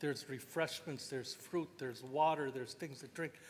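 A man with fairly even intonation. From Canada. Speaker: First Nations chief. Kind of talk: panel talk. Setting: stage with audience. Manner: joking. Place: hall. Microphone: podium.

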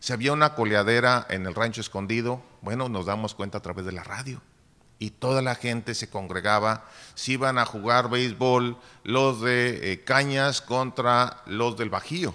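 At a fairly slow pace, a man speaks with a bright, sharp tone and ordinary pitch variation. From Nuevo León, Mexico. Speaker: chronicler / historian; panelist. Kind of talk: panel discussion. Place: hall. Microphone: podium.

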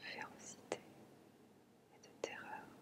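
Whispered speech from a woman, very slow, with noticeable noise in the background. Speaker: ASMR and relaxation content creator. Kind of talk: ASMR relaxation talk. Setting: close-mic home recording. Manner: whispered, soft-spoken.

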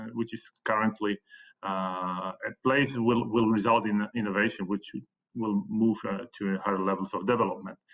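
Speaking at a fairly slow pace with a Slovak accent, a man uses a fairly low pitch over a quiet background. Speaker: economics professor. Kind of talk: conference presentation. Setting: video call. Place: home room. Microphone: webcam.

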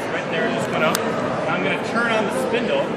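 Loud background noise fills the clip. A man is speaking. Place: hall. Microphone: camera far.

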